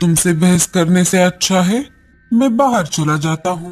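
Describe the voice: In a cartoonish character voice, a man speaks at a high pitch. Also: fairly slow pace.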